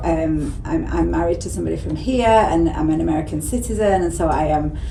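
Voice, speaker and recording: A woman speaks with an English accent at a moderate pace. Audible room echo and noticeable background noise fill the recording. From England. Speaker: tea room owner. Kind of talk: casual interview. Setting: tea room.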